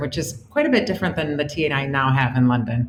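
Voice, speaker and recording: A woman talks at a fairly quick pace in an American accent. Noticeable background noise is audible. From US Midwest, Detroit suburbs, Michigan. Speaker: company CEO. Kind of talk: interview. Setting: remote call.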